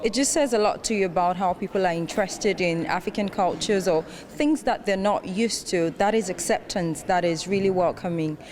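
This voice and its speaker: A woman at medium pitch with ordinary pitch variation, a fairly quick pace, hardly any pauses and very even loudness, over noticeable background noise. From Nigeria. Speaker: festival attendee, intern. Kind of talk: interview.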